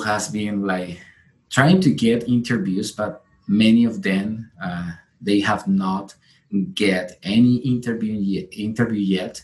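Someone with a Colombian accent speaks at a very slow pace. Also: man. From Colombia, Santander. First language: Spanish. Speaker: physician applying for residency. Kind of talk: interview. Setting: video call. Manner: halting.

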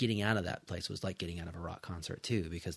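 Fairly even intonation marks this speaker, who talks with an American accent. The recording is very clean, with a silent background. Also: man. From California Central Coast. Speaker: physical therapist. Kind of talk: casual chat.

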